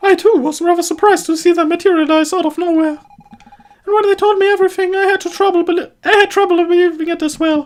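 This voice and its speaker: A man puts on a squeaky character voice pitched extremely high. He rattles along very fast with hardly any pauses. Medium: solo performance. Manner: practical, direct.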